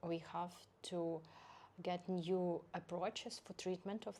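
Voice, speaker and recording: A woman's fairly low, dark and mellow voice in a Ukrainian accent, monotone and flat, at a fairly slow pace. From Ukraine, Zaporizhzhia. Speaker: head and neck surgeon. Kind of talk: interview. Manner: halting.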